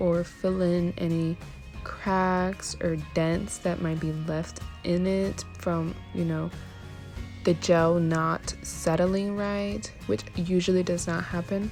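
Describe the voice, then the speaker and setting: Music plays in the background as a woman speaks quietly. Her pace is very slow. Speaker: nail technician. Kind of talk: tutorial voice-over. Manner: low, quiet.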